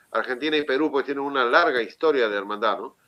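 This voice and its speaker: A man's fairly high voice with ordinary pitch variation, set against a quiet background. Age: 60s. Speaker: city councillor. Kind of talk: interview. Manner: halting, many fillers. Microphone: connection problems.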